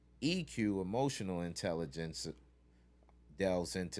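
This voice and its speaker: A man with a very deep, low voice and vocal fry speaks at a moderate pace in a very clean recording with a silent background. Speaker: youth mentor. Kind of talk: interview. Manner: raises voice when passionate.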